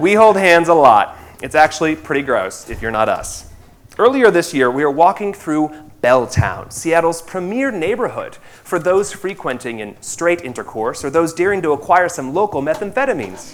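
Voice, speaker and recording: Speaking with an American accent, a man uses a high pitch and very wide pitch swings. His pace is moderate. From US Midwest, rural Indiana. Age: 30s. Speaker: theatre director. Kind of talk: stage speech.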